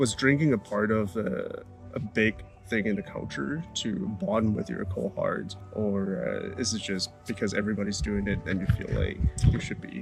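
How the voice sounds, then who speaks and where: A fairly low male voice with lively intonation at a moderate pace, music in the background. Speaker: interviewer. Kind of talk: interview questions.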